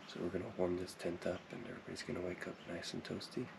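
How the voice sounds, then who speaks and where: A soft-spoken man talks at a fairly quick pace. His pitch is very deep and low. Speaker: outdoor gear reviewer. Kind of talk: product review.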